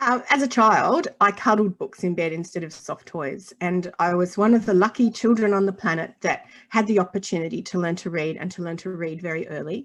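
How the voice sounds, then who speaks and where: A woman with an Australian accent, medium in pitch, against a quiet background. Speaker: children's author and illustrator. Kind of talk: interview.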